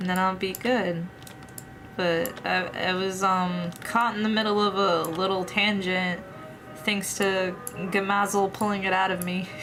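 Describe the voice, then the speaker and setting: With music in the background and audible room echo, a woman of medium pitch speaks at a fairly slow pace in a monotone, flat way, her loudness very even throughout. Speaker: VTuber streamer and artist. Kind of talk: casual livestream chat while drawing. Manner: halting, repeats words.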